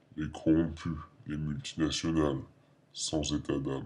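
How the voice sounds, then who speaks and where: The speaker talks at a moderate pace in a calm tone. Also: man, very deep, low pitch for a man. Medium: short film. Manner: calm, cold, formal.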